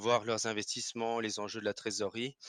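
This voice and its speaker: A man's medium-pitched voice with an Alsatian accent, monotone, flat intonation, and a dry, close sound with no echo. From Alsace, France. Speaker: finance professional, investment salesperson. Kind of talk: podcast interview. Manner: hesitant, frequent filler sounds.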